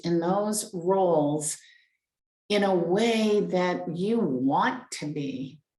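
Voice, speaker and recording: The woman's intonation is lively. Her voice carries audible room echo. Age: 60s. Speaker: life coach. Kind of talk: live stream talk. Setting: live stream on Facebook and Zoom. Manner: halting, repeats words.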